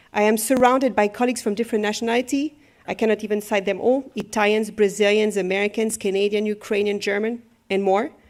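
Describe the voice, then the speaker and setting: In a French accent, the speaker moves at a fairly quick pace. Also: woman. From France. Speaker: professor. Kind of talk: formal speech.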